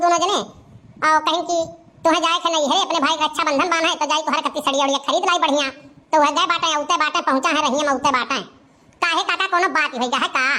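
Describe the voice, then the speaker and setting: A female-sounding cartoonish character voice, pitched extremely high and delivered at a very fast pace. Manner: talkative, rustic.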